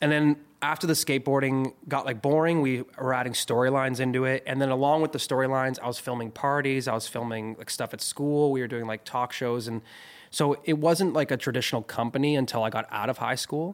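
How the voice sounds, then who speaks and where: A man with an unremarkable speaking voice talks at a fairly quick pace, medium in pitch and fairly even in intonation. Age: 20s. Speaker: music video director. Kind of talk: casual chat.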